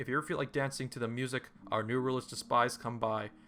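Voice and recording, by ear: Someone reads aloud, and the voice sounds natural.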